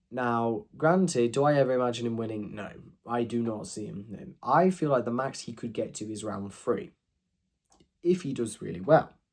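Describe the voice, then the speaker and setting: Quiet and at a medium pitch, a man's voice shows big swings in loudness. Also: lively intonation, moderate pace. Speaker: youtuber ranking fiction. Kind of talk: casual monologue review. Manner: halting.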